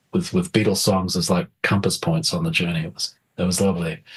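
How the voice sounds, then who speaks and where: Very deep, low-pitched man with a New Zealand accent, fairly quick, ordinary pitch variation. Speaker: film composer. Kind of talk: interview. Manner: animated, hesitant with many repetitions.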